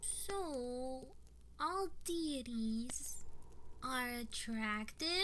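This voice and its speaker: A woman's put-on character voice, high-pitched and very slow, over clear background noise. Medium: audio drama.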